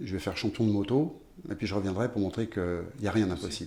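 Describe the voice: A man's dark, mellow voice sits at a fairly low pitch with ordinary pitch variation.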